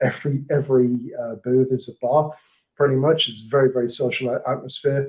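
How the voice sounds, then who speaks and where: The speaker has an English accent. The intonation is flat and monotone. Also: man. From England. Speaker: marketing manager. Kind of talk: podcast interview.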